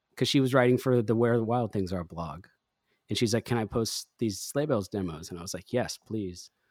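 A man with a plain, everyday voice at medium pitch and a fairly quick pace, on a very clean recording with a silent background and a dry, close sound with no echo. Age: 40s. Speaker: musician and producer. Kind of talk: casual chat.

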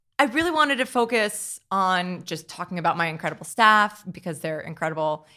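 A woman at a medium pitch talks at a fairly quick pace, in an ordinary speaking voice. The recording is very clean, with a silent background. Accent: American. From New Jersey (Hackettstown). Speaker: winery owner. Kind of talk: interview.

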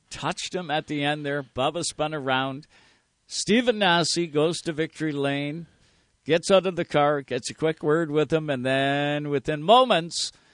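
With an animated, upbeat tone, a man talks at a moderate pace in a fairly high voice with ordinary pitch variation and a dry, close sound with no echo. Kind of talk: radio show banter, co-host motorsport talk. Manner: animated, upbeat, enthusiastic; fluent, broadcaster-polished.

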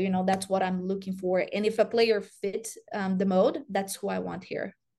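A woman's medium-pitched voice with a Brazilian accent at a moderate pace. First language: Portuguese. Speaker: college soccer coach. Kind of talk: interview.

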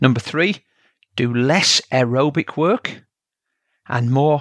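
A man speaks at a very slow pace in a Yorkshire accent, his pitch medium with ordinary variation. The recording is very clean with a silent background and a dry, close sound with no echo. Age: 50s. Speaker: triathlon coach and podcast host. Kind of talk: solo educational talk.

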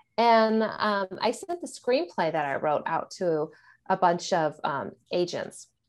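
Over a quiet background, a woman of medium pitch speaks in a plain, everyday voice. Her pace is fairly slow and her intonation lively. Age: 40s. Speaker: thriller author. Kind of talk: casual chat.

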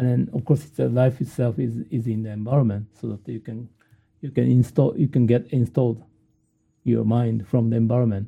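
With a Japanese accent, a man speaks in a dark, mellow tone that is somewhat breathy. He keeps a moderate pace and ordinary pitch variation. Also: medium pitch for a man. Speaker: professor. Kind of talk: interview. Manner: halting.

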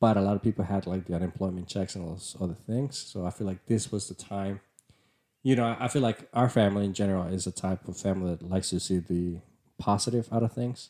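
Speaking very fast with a Spanish accent, a man uses a fairly low pitch, a dark, mellow tone and fairly even intonation in a very clean recording with a silent background. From Nicaragua. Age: 30s. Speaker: podcast host, civil engineer. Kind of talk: casual chat.

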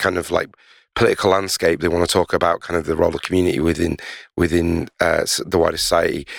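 On a very clean recording with a silent background and a dry, close sound with no echo, a man talks at a fairly quick pace in a Yorkshire accent. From Leeds, northern England. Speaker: podcast host, record label co-director. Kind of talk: casual chat. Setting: basement studio.

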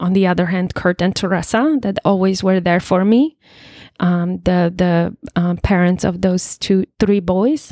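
Speaking at a very slow pace, a woman with a Polish accent holds a medium pitch in a very clean recording with a silent background. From Poland. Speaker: recovering alcoholic sharing her story. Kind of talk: testimony.

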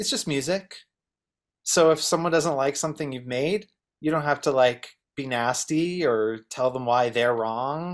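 A man with an ordinary speaking voice talks at a fairly slow pace, his pitch fairly high with ordinary variation. The recording is very clean with a silent background. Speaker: songwriter and producer. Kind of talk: panel discussion.

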